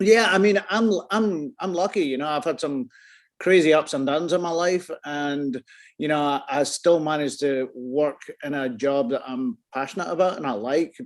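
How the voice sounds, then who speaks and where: This man has a Scottish accent and a fairly high pitch. His pitch varies in an ordinary way. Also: moderate pace, quiet background. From Scotland. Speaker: photographer. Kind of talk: interview answer. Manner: casual, rambling.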